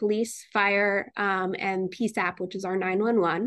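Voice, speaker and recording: A woman with an American accent and a plain, everyday voice speaks at a fairly slow pace and medium pitch against a quiet background. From Connecticut (Newtown). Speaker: city government administrator. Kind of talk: radio interview.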